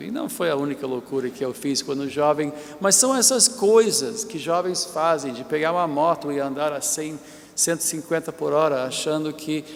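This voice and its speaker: Over noticeable background noise, a man talks at a moderate pace. His pitch is fairly high and his intonation lively. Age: 60s. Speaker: bishop, preacher. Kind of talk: sermon. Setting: church.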